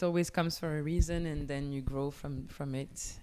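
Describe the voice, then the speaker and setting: A woman with a French accent. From Belgium, Namur. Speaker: singer-songwriter. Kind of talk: casual interview. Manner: halting.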